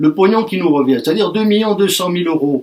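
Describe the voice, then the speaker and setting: Talking at a fairly quick pace, a man speaks at a high pitch with ordinary pitch variation. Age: 60s. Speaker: trade union representative. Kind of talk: union speech to workers. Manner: animated.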